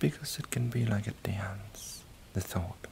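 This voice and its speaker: The voice has a soothing, gentle tone, with noticeable background noise behind it. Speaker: ASMR content creator. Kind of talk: hypnotic guided relaxation with a countdown, deepening the listener's trance. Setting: recorded inside a virtual reality social game. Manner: slow, soothing, repetitive cadence with reassuring 'that's it' prompts; gentle and calm, counting down numbers in a lulling rhythm.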